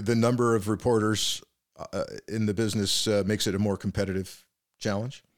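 Against a silent background in a very clean recording, a man with an American accent talks at a fairly quick pace in a normal speaking voice of medium pitch. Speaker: podcast host, former FBI official. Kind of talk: interview conversation.

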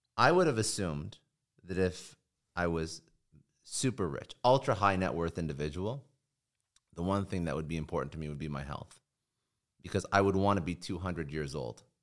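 Speaking with a Canadian accent, a man with a very deep, low pitch leaves long, frequent pauses. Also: ordinary pitch variation, fairly quick pace. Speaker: podcast host, entrepreneur. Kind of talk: casual chat.

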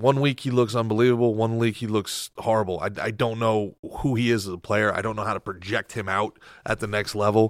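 On a very clean recording with a silent background, a man speaks in a normal speaking voice at a fairly quick pace. He has an American accent and a medium pitch. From New Jersey. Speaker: podcaster, guest. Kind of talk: casual chat.

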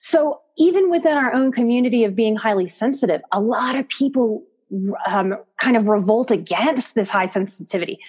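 A woman with an American accent and a plain, everyday voice, fairly high in pitch, with lively intonation at a moderate pace. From US South, New Orleans. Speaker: psychotherapist and life coach. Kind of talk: interview.

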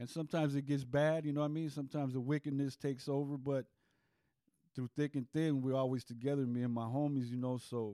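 A man with an American accent talks very fast in a monotone, flat intonation, his fairly high pitch carried by a dark, mellow tone in a dry, close sound with no echo on a very clean recording with a silent background. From Santa Monica, Los Angeles. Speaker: former gang member and ex-convict. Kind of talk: casual storytelling interview.

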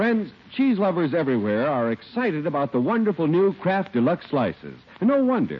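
The tone is upbeat, with very wide pitch swings and a moderate pace. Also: man. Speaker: radio announcer. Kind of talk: scripted radio commercial and announcement reading. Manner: smooth, polished, upbeat, formal salesman delivery.

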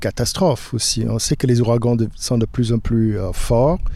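A man with a dark, mellow tone, fairly even intonation and a fairly slow pace. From Louisiana, Lafourche (Golden Meadow). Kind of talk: interview.

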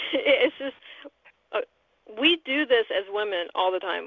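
A woman speaks at a fairly slow pace. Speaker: radio host. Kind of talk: casual interview chat.

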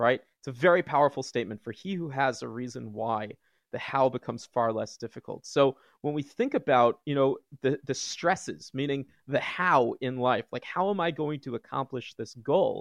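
A man's normal speaking voice, medium in pitch and moderate in pace, with a dry, close sound and no echo. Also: ordinary pitch variation. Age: 30s. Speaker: psychotherapist. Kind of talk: casual chat.

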